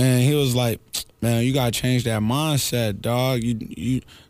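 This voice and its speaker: Here a man has a plain, everyday voice with a medium pitch. He speaks at a moderate pace. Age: 20s. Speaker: radio host. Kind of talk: casual chat.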